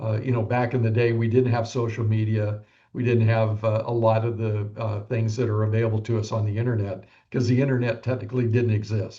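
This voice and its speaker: A man's somewhat breathy, dark and mellow voice at a medium pitch, monotone and flat, at a fairly quick pace. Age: 70s. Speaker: real estate broker. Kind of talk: podcast interview.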